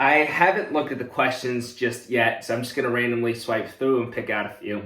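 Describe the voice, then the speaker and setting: Audible room echo surrounds a man talking at a fairly quick pace in an upbeat, animated tone. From US, moved from South Korea at age three. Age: 20s. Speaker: content creator, student. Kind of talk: casual Q&A to camera.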